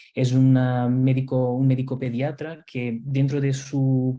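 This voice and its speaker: A man speaks in a dark, mellow tone. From Portugal/Spain mixed upbringing. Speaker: nurse and simulation instructor. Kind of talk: webinar lecture. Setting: online webinar. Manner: hesitant, many fillers and repetitions.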